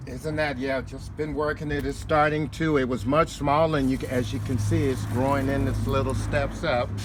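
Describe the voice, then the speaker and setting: A man at a moderate pace with hardly any pauses, audible room echo, and noticeable background noise. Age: 70s. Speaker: home gardener. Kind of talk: interview. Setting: outdoors.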